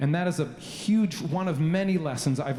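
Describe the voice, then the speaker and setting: Noticeable background noise runs through the clip. A man talks with a Canadian accent. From Canada (Victoria, British Columbia). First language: Slovenian. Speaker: composer. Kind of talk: speech to a concert audience. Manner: halting, many fillers.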